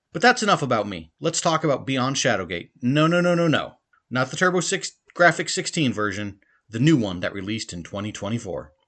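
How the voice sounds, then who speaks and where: A man with vocal fry talks at a fairly quick pace in a medium pitch with very wide pitch swings, over a quiet background. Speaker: podcast host. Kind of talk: monologue game review. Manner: fast.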